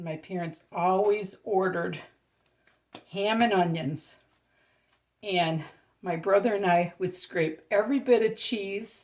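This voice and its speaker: A woman speaks fairly slowly in a medium-pitched voice with ordinary pitch variation, leaving long, frequent pauses. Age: 60s. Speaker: home cooking channel host. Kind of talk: cooking tutorial. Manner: casual, chatty.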